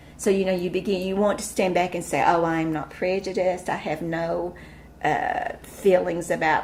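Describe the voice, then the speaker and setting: A woman's medium-pitched voice in an Appalachian accent, moderate in pace with monotone, flat intonation, over noticeable background noise. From East Tennessee. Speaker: school administrator. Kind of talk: interview answer.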